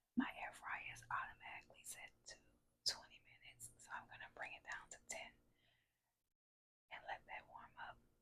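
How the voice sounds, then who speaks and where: Someone whispers at a moderate pace. Long pauses come often. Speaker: home cook. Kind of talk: cooking demonstration. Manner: whispered.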